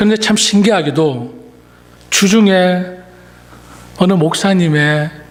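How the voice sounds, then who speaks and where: A man speaks at a very slow pace with lively intonation. Noticeable background noise and audible room echo surround him. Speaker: pastor. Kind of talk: sermon. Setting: church.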